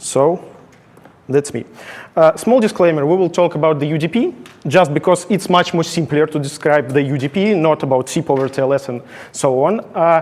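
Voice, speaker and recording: A man speaks with a non-native accent at a fairly high pitch, using ordinary pitch variation. Background noise is noticeable. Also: moderate pace. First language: not English. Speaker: conference speaker, software engineer. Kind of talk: technical conference talk. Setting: stage with audience. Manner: halting.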